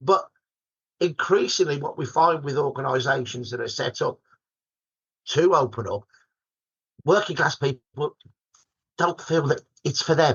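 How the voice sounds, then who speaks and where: The speaker has a Birmingham accent and talks at a moderate pace. Long, frequent pauses break up the speech. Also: man. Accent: broad Birmingham. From Birmingham, England. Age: 60s. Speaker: historian. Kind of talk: podcast interview. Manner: animated.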